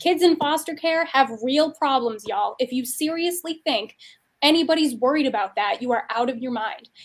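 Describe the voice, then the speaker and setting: A woman with a high voice talks at a moderate pace in an animated tone, with ordinary pitch variation. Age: 40s. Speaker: podcast host, memoir author. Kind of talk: casual interview chat. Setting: virtual event.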